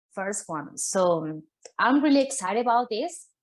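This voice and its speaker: This woman has a Spanish accent. She talks at a moderate pace. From Argentina. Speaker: artist. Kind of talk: panel talk. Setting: virtual summit video call.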